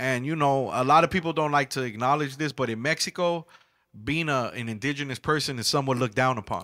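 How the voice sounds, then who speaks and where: Over a very clean recording with a silent background, a man talks very fast in a fairly high voice, bright and sharp in tone, with ordinary pitch variation. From California, Mexican-American barrio, Los Angeles area. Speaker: rapper. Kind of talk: interview. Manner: halting.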